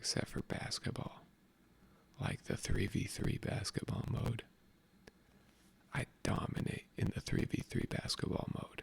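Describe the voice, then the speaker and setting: Someone whispers at a fairly slow pace. Long, frequent pauses break up the speech. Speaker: ASMR creator. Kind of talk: casual ASMR chat. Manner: animated.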